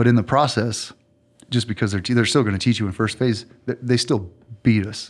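A man with an American accent speaks at a medium pitch in an unremarkable speaking voice. His pace is fairly quick and his intonation fairly even. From Southeast Texas. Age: 30s. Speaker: Navy veteran and author. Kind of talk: casual interview chat.

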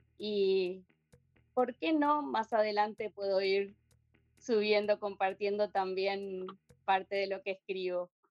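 The speech is very slow, with long, frequent pauses. Its pitch varies an ordinary amount. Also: woman, medium pitch for a woman. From Argentina. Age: 50s. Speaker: poet and textile artist. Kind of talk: interview. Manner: halting.

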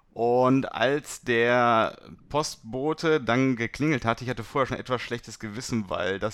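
A man speaks at a fairly slow pace in a medium pitch with fairly even intonation, on a very clean recording with a silent background. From Germany, Beckum (Westphalia). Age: 20s. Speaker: startup co-founder in sales. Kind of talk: casual interview. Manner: hesitant, many fillers.

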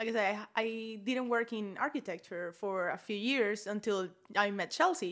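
A woman's fairly high voice with a Spanish accent. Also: very clean recording, silent background. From Venezuela. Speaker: architect. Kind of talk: interview.

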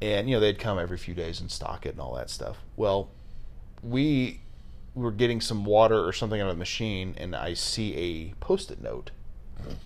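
A man's fairly low voice with vocal fry, lively intonation and a moderate pace. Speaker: podcast host. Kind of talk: casual chat. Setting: video call. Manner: animated.

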